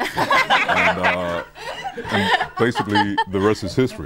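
The voice moves at a very slow pace. Loud background noise fills the dry recording, which has no echo. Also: man. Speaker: voice actor. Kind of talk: interview answer. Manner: relaxed, casual. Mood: amused, storytelling. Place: studio. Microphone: lapel.

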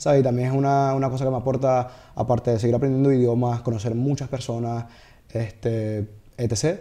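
Dark and mellow in tone, a man speaks with fairly even intonation. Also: fairly quick pace. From Venezuela, Caracas. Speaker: comedian and TikToker; comedian. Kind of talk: casual chat interview. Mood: relaxed, hopeful. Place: studio. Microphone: studio mic.

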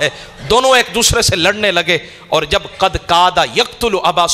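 His voice is raised and projected. The man's pitch moves up and down in an ordinary way. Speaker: religious preacher. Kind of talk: sermon. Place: studio. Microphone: studio mic.

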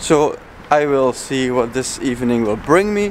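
The speech moves at a fairly slow pace. The sound is dry with no echo, over light background noise. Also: man. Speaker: vlogger. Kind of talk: casual vlog chat. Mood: upbeat, relaxed. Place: street. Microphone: phone near.

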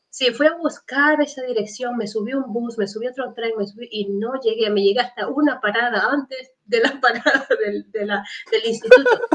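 A woman speaks at a moderate pace in a high pitch, with fairly even intonation. She leaves hardly any pauses, and the background is quiet. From Ecuador, Esmeraldas province (Muisne); Esmeraldas, Ecuador. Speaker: entrepreneur and health researcher; guest. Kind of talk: interview. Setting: video call. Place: home room. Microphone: video call.

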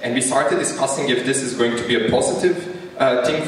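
A man speaks very fast with lively intonation. Strong room echo surrounds his voice. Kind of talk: opening speech. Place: stage.

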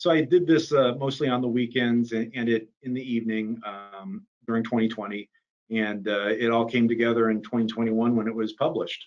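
Against a quiet background, a man speaks at a medium pitch and moderate pace with ordinary pitch variation. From US South, Miami, Florida; Florida. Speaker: defense attorney and author; defense attorney. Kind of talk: interview. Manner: halting, many fillers. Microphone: video call.

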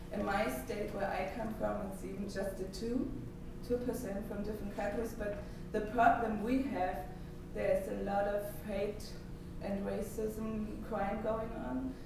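At a fairly slow pace, a woman talks with ordinary pitch variation amid strong room echo and noticeable background noise. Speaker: speaker. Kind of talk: conference talk, speaking freely. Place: hall. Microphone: camera far.

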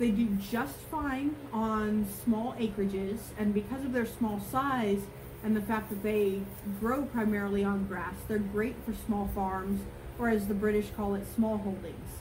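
Fairly slow pace and fairly even intonation over noticeable background noise. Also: woman. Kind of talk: tutorial. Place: farm machine.

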